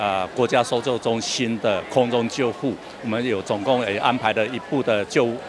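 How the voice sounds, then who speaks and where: A man talks at a moderate pace with ordinary pitch variation, the sound dry with no echo but with noticeable background noise. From Taiwan. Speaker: health official. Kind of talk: interview. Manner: halting, many fillers. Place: tent. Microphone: handheld.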